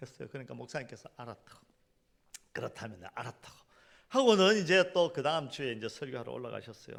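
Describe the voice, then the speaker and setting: A man speaks very fast in a medium pitch with vocal fry, and his loudness swings widely. Long pauses come often. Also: lively intonation. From South Korea, Gyeongsang region. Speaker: pastor. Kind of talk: sermon. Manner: animated.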